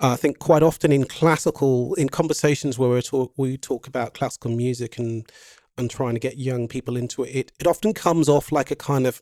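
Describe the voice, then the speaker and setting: Dark and mellow in tone, the voice moves at a fairly quick pace with ordinary pitch variation and a dry, close sound with no echo. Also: man. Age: 50s. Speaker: composer and pianist. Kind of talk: casual chat. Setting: video call.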